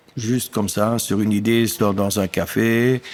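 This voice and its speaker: In a German accent, a man speaks at a very slow pace with a fairly low pitch and monotone, flat intonation. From German-speaking eastern Belgium (Amblève). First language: German (speaking French). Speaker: dairy farmer and union activist. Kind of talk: casual interview chat. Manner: hesitant, many fillers.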